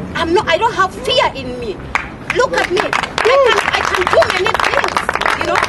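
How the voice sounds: A woman speaks at a fairly slow pace with an extremely high pitch, over clear background noise that includes clear crowd noise.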